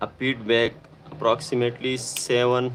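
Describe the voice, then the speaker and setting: Over noticeable background noise, a man with a Pakistani accent speaks at a fairly slow pace. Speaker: electronics repair technician. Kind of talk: live-stream repair tutorial. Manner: halting.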